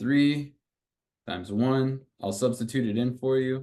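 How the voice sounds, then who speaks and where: In a quiet background, a man speaks at a medium pitch with ordinary pitch variation. His tone is dark and mellow. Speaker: math tutor. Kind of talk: tutoring session. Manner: casual, encouraging.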